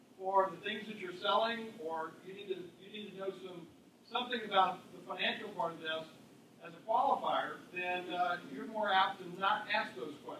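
Audible room echo and light background noise surround a man's high-pitched voice, which shows ordinary pitch variation. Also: moderate pace, big swings in loudness. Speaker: panelist sales coach. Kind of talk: panel talk to audience. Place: meeting room.

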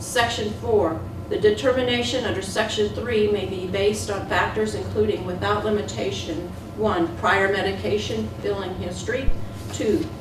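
This woman's pitch swings very widely at a moderate pace, with audible room echo and noticeable background noise. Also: fairly low pitch for a woman. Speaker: county commission president. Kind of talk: reading aloud. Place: meeting room.

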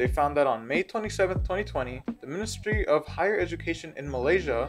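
A man talks at a moderate pace while clear music sounds behind him. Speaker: presenter. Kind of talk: informational presentation. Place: home room. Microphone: phone near.

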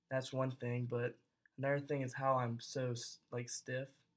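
A man at a moderate pace, monotone and flat, against a quiet background. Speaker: college student. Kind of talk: casual video blog. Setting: self-recorded video. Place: home room. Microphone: webcam.

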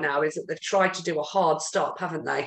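A woman with a British accent speaks at a moderate pace with ordinary pitch variation, with audible room echo but a quiet background. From UK. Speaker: podcast host. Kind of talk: casual interview chat. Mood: warm, friendly. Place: home room. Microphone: video call.

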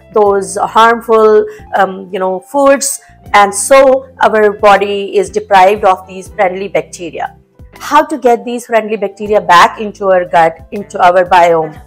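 Faint music plays in the background. A woman talks at a fairly slow pace. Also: ordinary pitch variation. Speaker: health blogger. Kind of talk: tutorial. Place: kitchen. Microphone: lapel.

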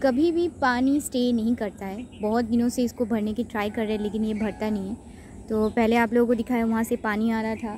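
The voice moves at a moderate pace in a dry sound with no echo and light background noise. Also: woman. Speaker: vlogger. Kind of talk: casual vlog chat. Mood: curious storytelling. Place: waterside. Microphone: phone near.

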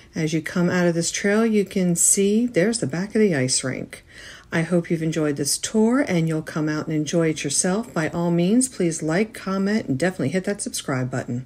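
A woman with an unremarkable speaking voice talks at a moderate pace, fairly low in pitch. Her intonation is lively, and she takes hardly any pauses. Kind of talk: casual tour narration.

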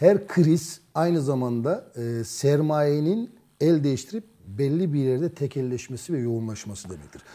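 A man's dark, mellow voice at a fairly high pitch, fairly slow and with big swings in loudness, over a quiet background. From Turkey. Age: 50s. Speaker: journalist. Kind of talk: political discussion. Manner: hesitant, frequent fillers. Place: studio. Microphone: lapel.

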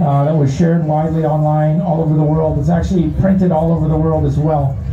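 Fairly even intonation comes through with light background noise and audible room echo. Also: man. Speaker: speaker. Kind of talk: public speech. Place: street.

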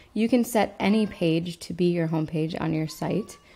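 A woman's voice sits fairly low, with a dark, mellow tone. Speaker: website tutor. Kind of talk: tutorial. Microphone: webcam.

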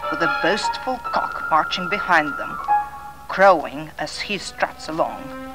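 A woman talks with music in the background. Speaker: narrator. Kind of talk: children's record narration. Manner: relaxing. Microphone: old recording.

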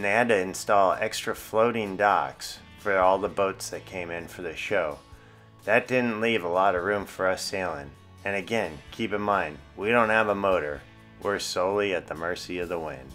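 Faint music plays in the background as a man with a fairly low pitch speaks at a moderate pace with ordinary pitch variation. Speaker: sailing vlogger narrator. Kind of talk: vlog voice-over narration. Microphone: studio mic.

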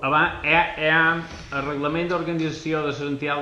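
Light background noise and audible room echo accompany the voice. The pace is moderate. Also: man. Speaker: council member. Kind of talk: formal council meeting. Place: meeting room.

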